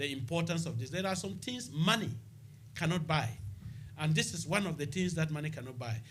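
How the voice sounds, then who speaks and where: A man with a Ghanaian accent speaks at a fairly quick pace, his fairly high pitch full of lively intonation, with audible room echo around him. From Ghana, Upper East region. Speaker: local mayor, former nurse. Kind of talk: radio interview. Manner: halting.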